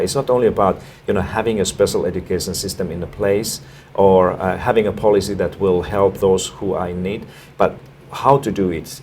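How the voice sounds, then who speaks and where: Noticeable background noise sits beneath talking at a fairly quick pace. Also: man. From Finland. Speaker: education expert. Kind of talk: interview. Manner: halting, many fillers and repetitions.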